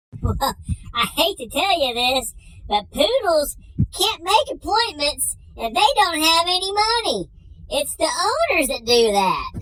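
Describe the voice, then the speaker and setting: The put-on character voice sits at an extremely high pitch, moving fairly slowly through very wide pitch swings. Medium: comedy sketch. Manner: dry, matter-of-fact.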